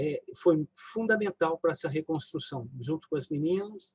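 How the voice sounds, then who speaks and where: A man's dark, mellow tone comes through at a fairly slow pace. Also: dry, close sound with no echo. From interior of São Paulo state, Brazil (near southern Minas Gerais). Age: 60s. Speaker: physician and family caregiver. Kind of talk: personal testimony in a live online talk.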